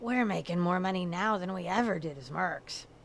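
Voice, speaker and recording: A woman uses a raspy, put-on character voice at a medium pitch and moderate pace, with ordinary pitch variation. Her loudness swings widely over clear background noise. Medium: video game. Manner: blunt, plainspoken.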